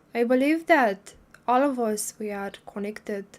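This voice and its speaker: A woman speaks with a non-native accent on a very clean recording with a silent background. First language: not English. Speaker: spiritual livestreamer. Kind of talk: casual livestream talk. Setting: livestream. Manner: halting, many fillers.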